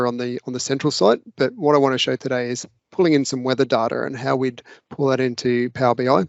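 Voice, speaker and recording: A man with an Australian accent, medium pitch, fairly even intonation and a very fast pace. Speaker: local government data analyst. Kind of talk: screen-share tutorial.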